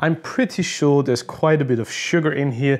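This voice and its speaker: A man speaks over a quiet background. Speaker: spirits reviewer. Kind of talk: tasting review commentary. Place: home room.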